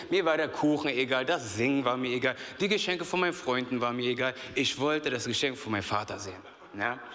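A man talks at a very fast pace in a medium pitch, with ordinary pitch variation and an animated tone. Room echo is audible. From Berlin, Germany. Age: 30s. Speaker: youth pastor. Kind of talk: sermon. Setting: church stage with audience.

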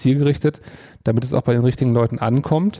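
With a dark, mellow tone, a man speaks at a medium pitch using fairly even intonation. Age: 30s. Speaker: advertising agency executive. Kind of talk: interview. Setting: agency meeting room. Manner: hesitant, many fillers.

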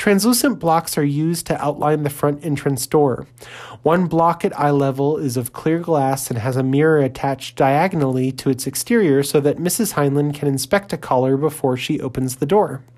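At a moderate pace, a woman with an American accent speaks in a very deep, low pitch with ordinary pitch variation. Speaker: podcast host. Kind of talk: 1950s educational film narration. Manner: stiff, brisk, clipped, authoritative, impersonal; dry and earnest, mid-century newsreel cadence.

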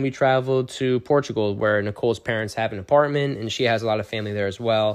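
With fairly even intonation, an ordinary speaking voice keeps a fairly quick pace. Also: man. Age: 30s. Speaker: podcast co-host, new father. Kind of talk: casual chat.

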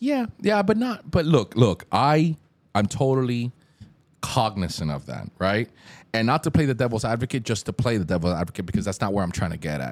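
A man with an American accent talks at a fairly quick pace, his pitch swinging very widely and dipping into vocal fry. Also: medium pitch for a man. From Hialeah, Miami, US. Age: 30s. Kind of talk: casual chat.

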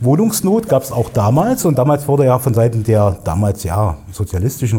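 Speaking at a fairly quick pace, a man uses a medium pitch, a dark, mellow tone, lively intonation and a somewhat breathy voice. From Thuringia, Erfurt (East Germany). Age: 40s. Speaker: digital agency owner, podcast co-host. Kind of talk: casual interview conversation.

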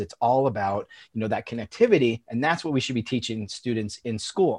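A man in a New York accent with lively intonation, over a quiet background. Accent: New York American. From US Northeast, Long Island, New York. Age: 40s. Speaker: founder of an education tech company. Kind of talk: casual chat.

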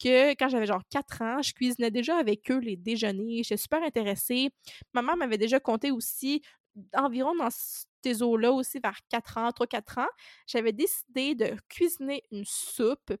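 A woman's high voice in a Quebec accent, moderate in pace with ordinary pitch variation, on a very clean recording with a silent background and a dry, close sound with no echo. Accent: Québécois French. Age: 20s. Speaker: podcast host, self-employed food content creator. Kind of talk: casual solo podcast monologue.

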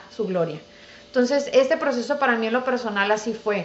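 Over noticeable background noise and audible room echo, a woman with a high voice talks at a moderate pace. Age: 30s. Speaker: dentist. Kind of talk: casual interview.

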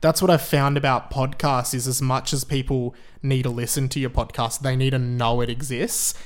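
In an Australian accent, this voice moves at a moderate pace with fairly even intonation. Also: man, medium pitch for a man. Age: 20s. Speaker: radio presenter. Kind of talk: casual chat; mock apology statement.

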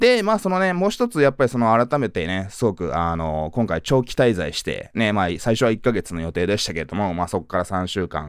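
On a very clean recording with a silent background, a man with an ordinary speaking voice and fairly low pitch talks with lively intonation and hardly any pauses. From Tokyo, Japan. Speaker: podcast host, businessman. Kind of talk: solo podcast monologue. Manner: heavy filler words, casual.

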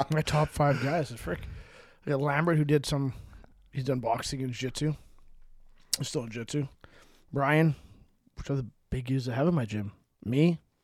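A man speaks at a moderate pace, his pitch fairly high for a man. He pauses long and often, with ordinary pitch variation. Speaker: podcast co-host. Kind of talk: casual chat.

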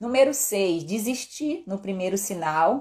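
A woman speaks very slowly in a somewhat breathy voice. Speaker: endocrinologist doctor. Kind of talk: live stream health talk. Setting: live stream.

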